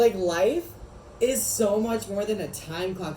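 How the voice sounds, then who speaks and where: A man speaks with ordinary pitch variation, and there is audible room echo along with noticeable background noise. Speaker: wellness video host. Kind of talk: casual chat. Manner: animated.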